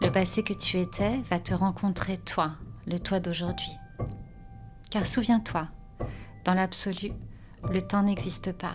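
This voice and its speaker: Backed by music, a woman speaks at a very slow pace in a calm, soothing tone, with long, frequent pauses. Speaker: author and meditation guide. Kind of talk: guided meditation, spoken-word (slam). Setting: studio with music. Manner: calm, soothing, slow.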